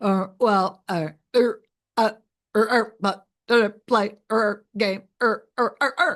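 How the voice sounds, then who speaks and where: A put-on character voice, guttural and mumbling, comes out at a fairly high pitch. The delivery is very slow. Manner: mumbling, hesitant.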